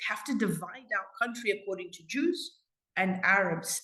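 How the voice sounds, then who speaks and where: The woman's voice is somewhat breathy, at a medium pitch. Her pace is fairly slow. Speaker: community advocate. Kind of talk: interview.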